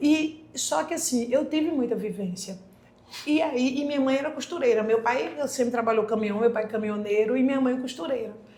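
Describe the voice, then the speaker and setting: With audible room echo and noticeable background noise, a woman talks at a moderate pace in a high pitch with ordinary pitch variation. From Brazil, Pernambuco (Candeias, near Recife). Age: 40s. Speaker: occupational therapist. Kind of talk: podcast interview.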